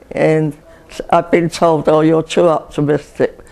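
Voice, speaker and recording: A woman with an English accent at a moderate pace. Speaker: retirement community resident, WWII civil servant. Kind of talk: oral history interview answer.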